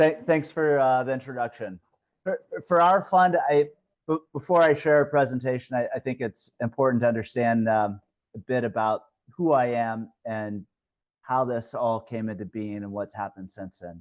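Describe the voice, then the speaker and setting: With an American accent and a normal speaking voice, a man of medium pitch speaks at a moderate pace with lively intonation and big swings in loudness, the sound dry and close with no echo. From US Midwest, Ohio. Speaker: investment fund manager. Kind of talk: webinar presentation.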